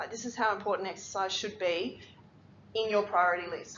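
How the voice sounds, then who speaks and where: With audible room echo, a woman with an Australian accent speaks at a very fast pace, her fairly high pitch showing ordinary variation. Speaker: physiotherapist. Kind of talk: lecture.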